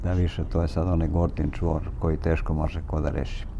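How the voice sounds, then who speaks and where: Speaking at a fairly quick pace, a man's very deep, low voice holds a fairly even intonation over noticeable background noise and audible room echo. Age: 70s. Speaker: vlogger, former radio host. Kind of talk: casual monologue while driving. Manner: halting.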